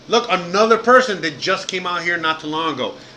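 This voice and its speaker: Over noticeable background noise, a man speaks in a raised, projected voice. His pace is moderate. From Miami, Cuban-American family. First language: Spanish. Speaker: live streamer, podcaster, former chef. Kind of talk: live stream casual chat. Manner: animated, casual, many fillers.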